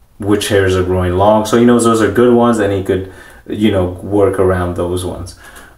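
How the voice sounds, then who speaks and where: A man speaks fairly quickly in a fairly low, monotone voice with flat intonation. The room echo is audible and the background noise is noticeable. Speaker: vlogger documenting his hair transplant. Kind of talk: casual video diary. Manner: fast; halting, many fillers.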